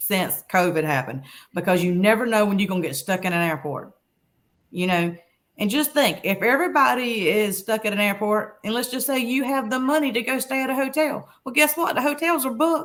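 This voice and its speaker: A woman with a Southern US accent talks at a moderate pace, her fairly high pitch making very wide swings. The recording is very clean, with a silent background. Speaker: travel blogger. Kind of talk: interview answer.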